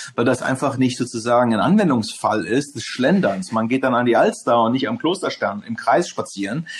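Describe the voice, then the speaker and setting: Very wide pitch swings in a man's moderately paced speech. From Hamburg, northern Germany. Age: 40s. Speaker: e-commerce executive. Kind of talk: interview. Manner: hesitant with many fillers.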